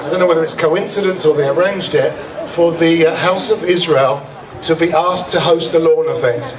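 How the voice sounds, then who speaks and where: A man with a high voice, noticeable background noise and audible room echo. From England. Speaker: master of ceremonies at a cultural festival. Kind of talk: emcee address to an outdoor audience.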